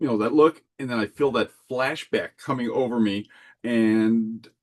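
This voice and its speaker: A man with an unremarkable speaking voice talks at a fairly slow pace in a medium pitch. His intonation is fairly even, and the sound is dry and close with no echo. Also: quiet background. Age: 50s. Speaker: landscape architecture subcontractor and Disney collector. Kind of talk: casual chat.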